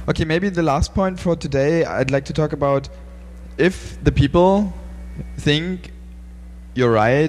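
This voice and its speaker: A man's fairly slow speech, broken by long, frequent pauses. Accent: German. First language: German. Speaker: podcast host. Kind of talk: interview. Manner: halting.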